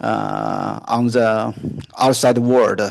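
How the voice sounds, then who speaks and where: A man's medium-pitched voice stands out against a quiet background. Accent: Chinese. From China. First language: Chinese. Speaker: junior researcher in international relations. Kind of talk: solo talk / discussion monologue. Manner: halting, many fillers.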